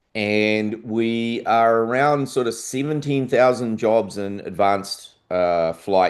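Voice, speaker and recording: The voice carries a New Zealand accent with ordinary pitch variation. The background is quiet. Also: man. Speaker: aviation industry presenter. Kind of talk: conference presentation. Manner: casual, with many fillers.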